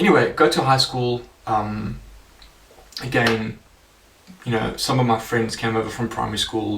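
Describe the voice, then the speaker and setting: Over noticeable background noise, a man at a medium pitch talks at a moderate pace with ordinary pitch variation. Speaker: life coach. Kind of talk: personal testimony. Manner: casual, many fillers.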